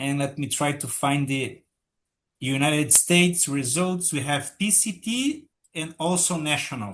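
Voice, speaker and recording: Over a quiet background, a man with a Portuguese accent speaks at a fairly slow pace with ordinary pitch variation. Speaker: patent office official. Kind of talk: webinar presentation. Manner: halting.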